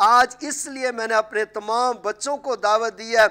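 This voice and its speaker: A man's bright, sharp, raised and projected voice, fairly slow and fairly even in intonation, over a quiet background. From Pakistan. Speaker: pastor and TV program host; talk show host, pastor. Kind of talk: religious talk show interview. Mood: warm, earnest. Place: studio.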